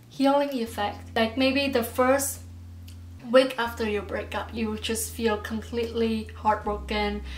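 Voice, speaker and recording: In a room with audible echo, a woman talks at a fairly slow pace with a non-native accent. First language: not English. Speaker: YouTuber. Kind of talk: advice vlog. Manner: casual, halting.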